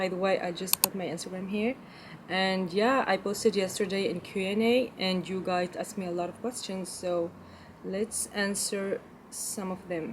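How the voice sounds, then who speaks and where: A woman's intonation stays fairly even while noticeable background noise carries on around her. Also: medium pitch for a woman, moderate pace. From Belgium. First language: French. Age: 20s. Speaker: lifestyle vlogger. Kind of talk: casual Q&A vlog. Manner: halting, non-fluent English.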